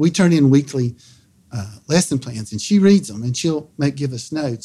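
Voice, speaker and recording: A man talks in a somewhat breathy voice with a dark, mellow tone. The recording is very clean, with a silent background. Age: 60s. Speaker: middle school science teacher. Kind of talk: interview. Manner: halting, repeats words.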